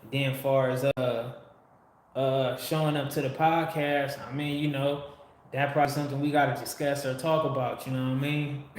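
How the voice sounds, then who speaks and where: The voice is monotone and flat at a moderate pace, with audible room echo and noticeable background noise. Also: man, fairly high pitch for a man. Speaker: livestream host. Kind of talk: casual livestream chat. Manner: occasional slurring and stutters.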